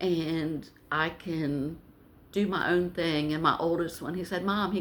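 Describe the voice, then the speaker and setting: This woman's voice has a bright, sharp tone and a fairly low pitch. Her pitch varies in an ordinary way. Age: 60s. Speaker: vlogger. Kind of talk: casual vlog talk.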